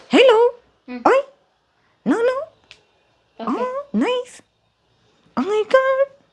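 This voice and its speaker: The pitch sits extremely high. It belongs to a put-on character voice. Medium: tutorial demo.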